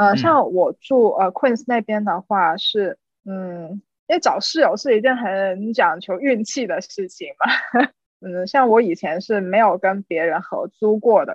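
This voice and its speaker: A woman talks at a fairly slow pace in a fairly high voice with lively intonation. She has an ordinary speaking voice. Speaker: designer, overseas Chinese student. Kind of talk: interview storytelling.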